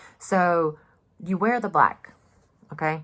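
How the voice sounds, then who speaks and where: Woman with a Southern US accent, speaking at a fairly slow pace with ordinary pitch variation. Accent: Southern US drawl. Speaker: mask maker. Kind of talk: casual talk to camera. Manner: chatty, sarcastic.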